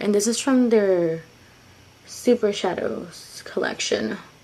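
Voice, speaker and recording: Against noticeable background noise, a woman speaks fairly slowly at a medium pitch with ordinary pitch variation. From Mexican heritage. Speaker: beauty vlogger. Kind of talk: makeup tutorial. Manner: casual, filler words.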